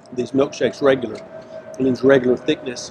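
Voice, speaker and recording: Music plays in the background as a man speaks. The sound is dry, with no echo. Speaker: food show host. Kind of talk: food review commentary. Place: street. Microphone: lapel.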